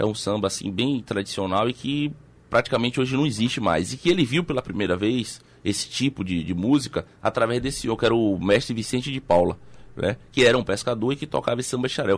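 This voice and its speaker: Delivery is very fast. The voice shows ordinary pitch variation. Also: man. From Salvador, Bahia, Brazil. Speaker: documentary filmmaker and journalist. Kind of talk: radio interview. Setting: radio studio. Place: studio. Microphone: studio mic.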